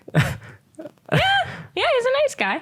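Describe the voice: Putting on a character voice, a woman goes squeaky at an extremely high pitch.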